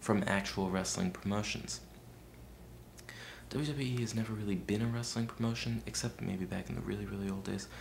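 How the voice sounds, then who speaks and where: Soft-spoken and somewhat breathy, a man with a fairly low pitch moves at a moderate pace through very wide pitch swings amid audible room echo. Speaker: video blogger. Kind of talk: video response monologue. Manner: soft-spoken, very quiet; hesitant, many fillers.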